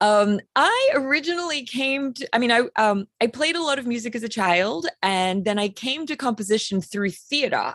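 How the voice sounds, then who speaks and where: A woman with an Australian accent talks at a moderate pace, her pitch swinging very widely. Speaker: composer. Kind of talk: panel discussion.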